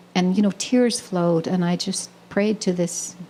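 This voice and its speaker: A woman at a medium pitch talks at a moderate pace over noticeable background noise. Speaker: poet, spiritual teacher. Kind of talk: spoken talk at a live poetry reading. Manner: hesitant, reflective, many filler words.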